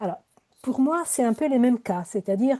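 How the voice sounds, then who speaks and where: A woman with an Italian accent speaks in a high pitch with a dark, mellow tone and lively intonation. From Italy. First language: Italian (speaking French). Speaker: poet and professor. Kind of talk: panel discussion. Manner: hesitant, many fillers.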